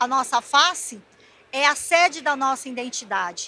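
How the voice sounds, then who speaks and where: A woman speaks in a raised, projected voice at a very slow pace. Her pitch is high, her tone bright and sharp, and her intonation lively. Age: 60s. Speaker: visagism lecturer. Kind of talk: lecture.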